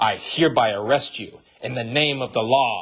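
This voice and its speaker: A man's growling, put-on character voice at a moderate pace, with fairly even intonation and big swings in loudness. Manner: authoritative.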